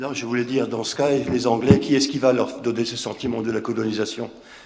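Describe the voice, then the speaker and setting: At a moderate pace, a man with a medium-pitched voice speaks amid audible room echo. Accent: Alsatian. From Alsace, France. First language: Alsatian (speaking French). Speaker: association organizer, panelist. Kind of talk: round table discussion. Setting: conference round table. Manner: hesitant, repetitive.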